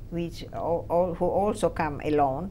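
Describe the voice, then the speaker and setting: A woman's dark, mellow tone with vocal fry, fairly even intonation and a very slow pace. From Romania. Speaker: Holocaust survivor. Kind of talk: testimony. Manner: halting.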